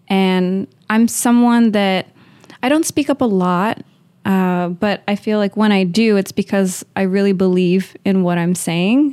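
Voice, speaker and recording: Using an American accent, a woman with a dark, mellow tone talks at a fairly slow pace, with ordinary pitch variation and very even loudness. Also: medium pitch for a woman. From Uvalde, Texas, US. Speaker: marketing operations head and MBA student. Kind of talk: casual interview.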